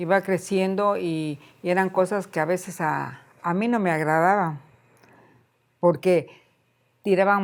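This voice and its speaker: A woman with a fairly low pitch speaks at a very slow pace with fairly even intonation. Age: 70s. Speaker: elderly resident sharing life story. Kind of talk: interview, life story testimony. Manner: hesitant, with repetitions.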